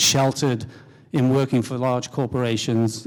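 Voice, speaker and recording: Speaking at a fairly quick pace, a man with an English accent keeps a medium pitch and fairly even intonation. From England. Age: middle-aged. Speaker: company CEO. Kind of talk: panel discussion. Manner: halting.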